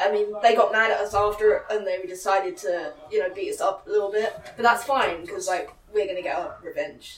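A woman races through her words at a very fast pace as noticeable background noise continues. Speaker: pro wrestler. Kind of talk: casual interview chat. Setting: gym venue.

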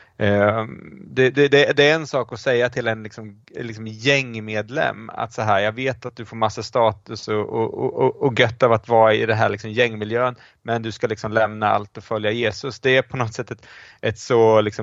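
The speaker has an unremarkable speaking voice and talks at a moderate pace. The loudness swings widely. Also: man. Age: 40s. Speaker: professor of church history. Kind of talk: casual chat.

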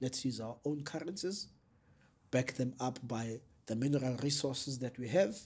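A man with a medium pitch talks at a moderate pace, somewhat breathy, his pitch varying in an ordinary way. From South Africa, KwaZulu-Natal north of Durban. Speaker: political activist and analyst. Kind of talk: interview.

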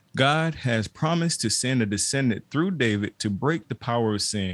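The speech moves at a moderate pace with lively intonation. The recording is very clean, with a silent background. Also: man. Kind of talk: casual chat. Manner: enthusiastic, upbeat.

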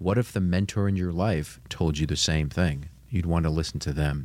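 This man's voice sits very deep and low. He moves along at a fairly quick pace. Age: 50s. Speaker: financial class coordinator. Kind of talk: casual chat.

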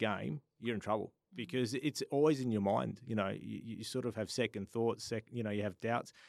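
A man at a medium pitch, very fast pace and ordinary pitch variation, with a dry, close sound, no echo and a very clean recording over a silent background. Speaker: football commentator. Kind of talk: casual chat.

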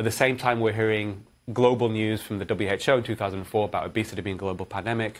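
At a very fast pace, a man speaks in a fairly low pitch with monotone, flat intonation, on a very clean recording with a silent background. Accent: Manchester. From northern England, Manchester. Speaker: cardiologist. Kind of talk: interview.

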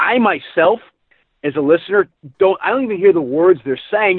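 This is a man speaking. His voice has a slightly husky edge.

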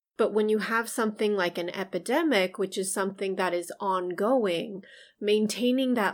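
A woman with an American accent speaks in a normal speaking voice at a medium pitch with ordinary variation. The recording is very clean, the background silent. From US, Chinese American family. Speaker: psychologist podcast co-host. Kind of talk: casual chat.

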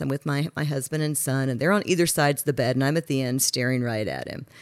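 A woman with an American accent speaks at a very fast pace over noticeable background noise. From Texas. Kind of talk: casual chat. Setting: apartment.

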